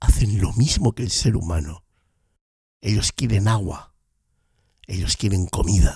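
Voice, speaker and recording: A man's fairly low, somewhat breathy voice with a dark, mellow tone, at a fairly slow pace with ordinary pitch variation and long, frequent pauses. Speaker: podcast host. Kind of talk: podcast monologue.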